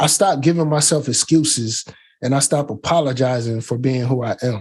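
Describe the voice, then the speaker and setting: Somewhat breathy, this voice carries an American accent and ordinary pitch variation. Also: man, medium pitch for a man. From Canton, Ohio, US Midwest. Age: 30s. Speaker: tech YouTuber. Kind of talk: interview.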